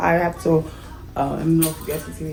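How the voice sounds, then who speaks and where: A woman is talking, and noticeable noise can be heard in the background. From Haiti. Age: 30s. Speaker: kindergarten teacher. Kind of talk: casual vlog talk to camera.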